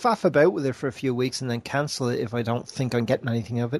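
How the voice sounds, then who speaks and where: A man speaks at a fairly quick pace in a normal speaking voice. His pitch is medium. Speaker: podcast host. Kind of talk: casual chat.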